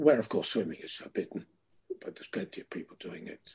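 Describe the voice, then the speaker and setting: A man's voice, somewhat breathy. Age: 70s. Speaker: river swimmer and campaigner. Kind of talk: interview, reminiscing. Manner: articulate, passionate.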